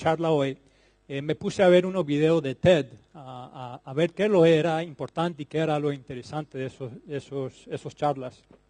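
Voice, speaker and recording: Recorded with a dry, close sound, no echo and a quiet background, a man speaks with a dark, mellow tone, a fairly high pitch and ordinary pitch variation. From Colombia. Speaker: plant breeding scientist. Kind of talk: conference talk. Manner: halting, with fillers and repetitions.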